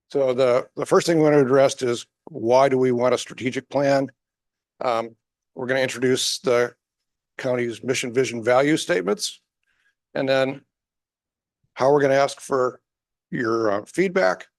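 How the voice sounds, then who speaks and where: Long, frequent pauses break up a man's speech, which moves at a moderate pace with medium pitch and ordinary pitch variation. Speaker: strategic planning consultant. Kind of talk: presentation to county staff. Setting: public meeting room, in person and online. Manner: speaks at low volume; hesitant, with fillers.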